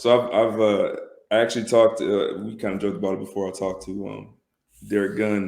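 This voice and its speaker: A man's very fast, monotone, flat delivery, fairly low in pitch, with vocal fry and big swings in loudness. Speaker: podcast co-host. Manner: hesitant, many fillers.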